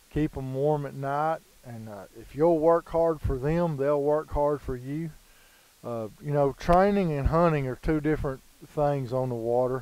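A man with a dark, mellow tone and a fairly high pitch speaks at a fairly slow pace with fairly even intonation, in a dry sound with no echo. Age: 40s. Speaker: retriever dog trainer. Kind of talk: casual tutorial. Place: waterside.

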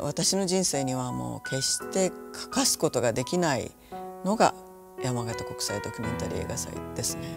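A woman speaks at a moderate pace while noticeable background noise is heard. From Ehime, Japan. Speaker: English interpreter and interpreting instructor. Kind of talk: interview answer. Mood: calm, reflective. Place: home room.

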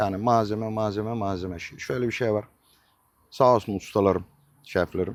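A man speaks in a normal speaking voice at a fairly low pitch. His pace is moderate and his intonation fairly even. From Turkey, Denizli province (Acıpayam). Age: 50s. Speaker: restaurant owner. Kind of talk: interview. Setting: in his restaurant.

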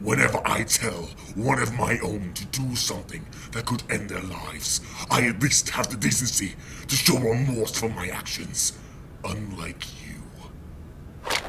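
Moderate-paced speech over loud background noise. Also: man, medium pitch for a man. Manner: angry, accusatory, intense.

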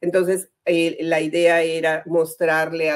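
The woman's voice sits at a fairly low pitch. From northern Mexico, Comarca Lagunera (Torreón). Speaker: journalist and life coach. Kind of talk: casual interview.

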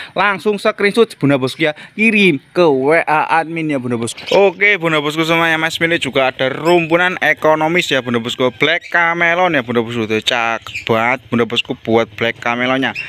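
Over light background noise, a man speaks with lively intonation and an animated tone, hardly pausing, the sound dry with no echo. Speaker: online plant seller. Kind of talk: street-seller style sales pitch. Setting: video channel, plants shown to camera. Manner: fast, repetitive; animated, hard-sell. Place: garden. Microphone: phone near.

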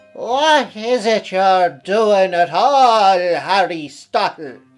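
Faint music plays in the background as a put-on character voice speaks at a very slow pace in a middle pitch. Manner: questioning, accusing.

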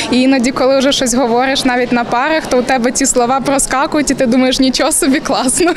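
A woman speaks at a high pitch with fairly even intonation, over noticeable background noise. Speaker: student actress. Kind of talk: interview answer. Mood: cheerful, smiling, laughing. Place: hall. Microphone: handheld.

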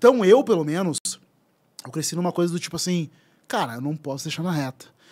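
A man's high voice with lively intonation, a fairly quick pace and big swings in loudness. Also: quiet background. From southern Brazil (Rio Grande do Sul). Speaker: writer and content creator; content creator. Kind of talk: casual chat. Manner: animated. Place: studio. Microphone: studio mic.

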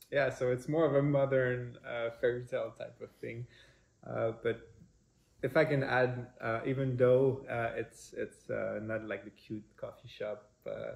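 In a Quebec accent, a man talks at a fairly slow pace. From Quebec, Montreal. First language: French. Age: 20s. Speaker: prospective parent. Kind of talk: personal introduction video. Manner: halting, many fillers. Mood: warm, relaxed, smiling. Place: kitchen. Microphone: camera far.

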